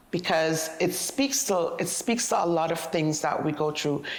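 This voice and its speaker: A woman speaks slowly-ish, at a fairly low pitch with vocal fry. Her intonation is lively. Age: 50s. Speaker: interviewee on aging. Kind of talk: interview.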